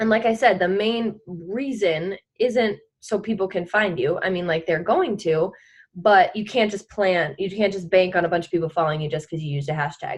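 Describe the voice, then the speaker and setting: A woman speaks at a moderate pace in an ordinary speaking voice, with a medium pitch and ordinary pitch variation. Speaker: fitness business coach leading team call. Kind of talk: team call presentation. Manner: casual, filler-heavy.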